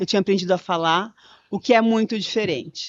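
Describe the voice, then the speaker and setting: A woman talking at a very fast pace. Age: 60s. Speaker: conversation facilitator, public speaker. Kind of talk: podcast interview. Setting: live event recording.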